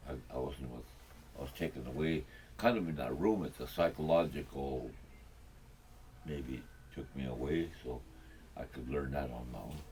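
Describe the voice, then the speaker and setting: With a Lakota accent, a man speaks at a moderate pace in a very deep, low pitch with ordinary pitch variation, big swings in loudness and long, frequent pauses, with audible room echo around him. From Pine Ridge, South Dakota. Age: 70s. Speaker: elder. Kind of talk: interview. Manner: halting.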